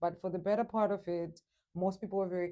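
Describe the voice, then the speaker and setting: A woman's fairly low, dark, mellow voice in a Zimbabwean accent at a fairly quick pace. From Zimbabwe, Matabeleland then Shona. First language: Shona. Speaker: English teacher. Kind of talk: interview.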